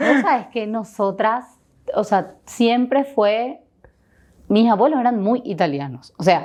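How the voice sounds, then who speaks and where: A woman in a Paraguayan accent, fairly high in pitch with lively intonation, at a very slow pace broken by long, frequent pauses. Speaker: business owner. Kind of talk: podcast interview.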